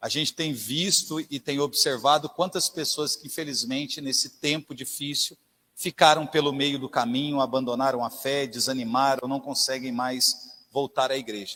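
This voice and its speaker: Here a man talks at a moderate pace with a fairly high pitch, a bright, sharp tone, fairly even intonation, and hardly any pauses. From interior of São Paulo state, Brazil. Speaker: lay preacher. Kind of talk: sermon. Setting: church.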